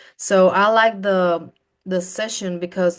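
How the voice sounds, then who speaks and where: Speaking with a Spanish accent, a woman uses a medium pitch with ordinary pitch variation. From Colombia. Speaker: program alumna. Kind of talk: interview. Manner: halting.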